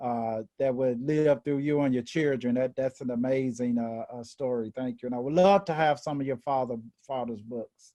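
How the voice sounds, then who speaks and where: With a Memphis accent, a man talks at a moderate pace and medium pitch, his tone dark and mellow, with fairly even intonation and hardly any pauses. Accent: Southern US (Memphis). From US South, Memphis, Tennessee. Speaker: equity and inclusion officer. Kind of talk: panel discussion. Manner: halting, many repetitions.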